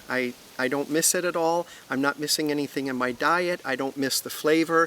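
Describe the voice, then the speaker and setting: This man talks at a moderate pace in a fairly high voice. Noticeable background noise sits behind him. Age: 60s. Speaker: interviewee sharing vegan lifestyle. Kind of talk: interview.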